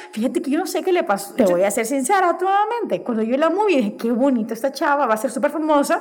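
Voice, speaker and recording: In a Honduran accent, a woman talks at a high pitch and very fast pace with hardly any pauses and very wide pitch swings, over noticeable background noise. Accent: Honduran Spanish, voseo. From Honduras. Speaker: podcast guest. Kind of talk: casual chat.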